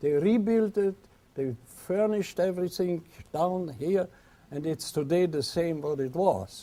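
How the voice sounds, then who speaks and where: The voice has a dark, mellow tone, moving at a fairly slow pace with ordinary pitch variation. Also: man. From Vienna, Austria. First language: German. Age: 80s+. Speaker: singer. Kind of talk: lecture to an audience.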